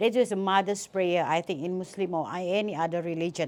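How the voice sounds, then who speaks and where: On a very clean recording with a silent background, a woman with an ordinary speaking voice talks at a moderate pace, medium in pitch with ordinary pitch variation. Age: 60s. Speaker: business executive, award honoree. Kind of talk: interview. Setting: event venue interview.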